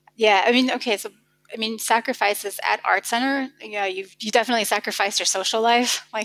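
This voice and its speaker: With an American accent, a woman speaks at a fairly high pitch and a fairly quick pace. Her intonation is monotone and flat. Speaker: car designer. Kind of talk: podcast interview.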